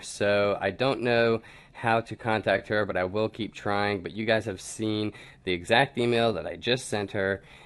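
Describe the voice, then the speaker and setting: A man speaks in an unremarkable speaking voice, fairly low in pitch, with fairly even intonation at a moderate pace. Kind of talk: casual talk to camera, screen walkthrough. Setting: home recording, low sound quality.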